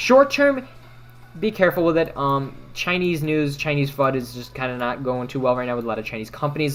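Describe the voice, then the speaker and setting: Fairly quick speech over music in the background. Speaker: stock trading livestreamer. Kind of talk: livestream stock commentary reading chat questions. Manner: fast.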